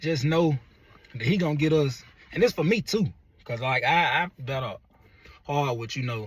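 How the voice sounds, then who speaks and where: A man is speaking. His voice is somewhat breathy. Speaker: motivational vlogger. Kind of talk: motivational monologue. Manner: halting.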